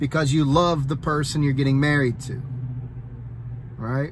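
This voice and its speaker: A somewhat breathy man with an American accent. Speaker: soldier and vlogger. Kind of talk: casual vlog talk. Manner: fast; halting, many fillers.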